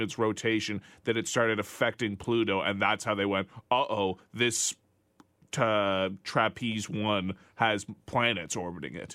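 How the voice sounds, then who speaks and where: A normal speaking voice: a man with a Canadian accent, fairly low in pitch, at a moderate pace with fairly even intonation. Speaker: radio producer. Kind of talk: casual chat. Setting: studio.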